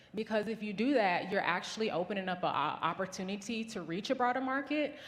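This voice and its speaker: A woman with an American accent, fairly high pitch and lively intonation, with audible room echo. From US South. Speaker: business founder. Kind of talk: conference talk.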